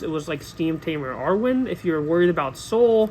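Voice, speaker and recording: Here a man speaks at a fairly quick pace. His pitch is high, with ordinary variation. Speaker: card game content creator. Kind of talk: tutorial. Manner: halting; casual.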